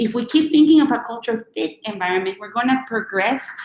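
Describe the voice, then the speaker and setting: With a strong Chilean accent, a woman speaks at a moderate pace with a fairly high pitch and lively intonation. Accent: thick Chilean Spanish. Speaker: recruiter and career speaker. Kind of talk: webinar talk and Q&A.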